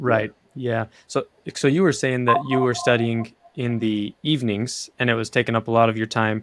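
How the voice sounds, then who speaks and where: Medium-pitched, a normal speaking voice of a man, with fairly even intonation and moderate pace. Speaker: podcast host. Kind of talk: interview questions.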